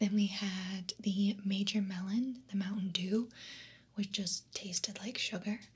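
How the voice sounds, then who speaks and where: A woman's whispering, soft-spoken voice, somewhat breathy and fairly slow. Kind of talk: ASMR soda taste test, casual talk to camera. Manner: whispered, soft-spoken.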